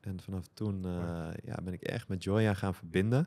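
A normal speaking voice with ordinary pitch variation comes through a very clean recording with a silent background. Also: man. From Netherlands, Amsterdam. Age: 40s. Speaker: tantra and consciousness coach. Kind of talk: casual chat.

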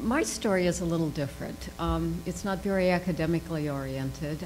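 Noticeable background noise is present as the delivery holds a moderate pace. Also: woman. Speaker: international development consultant; panelist. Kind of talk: panel discussion. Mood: reflective, personal story. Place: hall. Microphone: podium.

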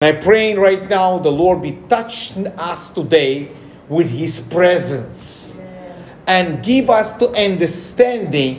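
A man with a high pitch talks as noticeable background noise plays behind him. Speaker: pastor preaching to a congregation. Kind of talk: sermon.

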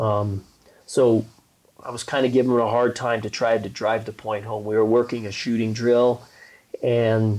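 At a moderate pace, a man with an American accent speaks in a dark, mellow tone, his intonation monotone and flat, broken by long, frequent pauses. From Colorado. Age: 50s. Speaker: basketball coach. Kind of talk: casual chat. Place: home room. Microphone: lapel.

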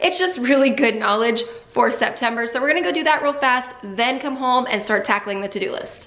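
Audible room echo surrounds the voice. The pace is fairly quick. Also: woman, high pitch for a woman. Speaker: family lifestyle vlogger. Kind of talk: casual vlog chat. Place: home room.

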